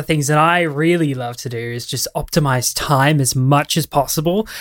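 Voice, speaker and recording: On a very clean recording with a silent background, a man with a normal speaking voice talks at a moderate pace, fairly high pitch and ordinary pitch variation. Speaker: commentary YouTuber. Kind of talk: casual interview chat.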